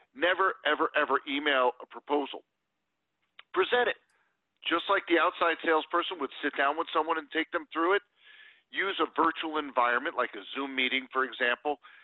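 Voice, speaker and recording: This man has an American accent and an unremarkable speaking voice. He talks fairly quickly with a fairly high pitch. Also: ordinary pitch variation. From US Northeast, New Jersey. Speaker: sales consultant and author. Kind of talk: interview.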